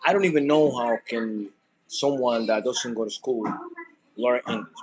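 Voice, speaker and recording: A man with a Spanish accent at a medium pitch and a fairly slow pace, with ordinary pitch variation. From Dominican Republic. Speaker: content creator. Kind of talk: casual vlog monologue. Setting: cooking at home. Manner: halting, many fillers.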